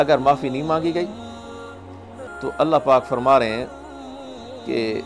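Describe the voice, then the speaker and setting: Over music in the background, a man talks at medium pitch with ordinary pitch variation. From Pakistan. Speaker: Islamic preacher. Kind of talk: religious sermon (bayan).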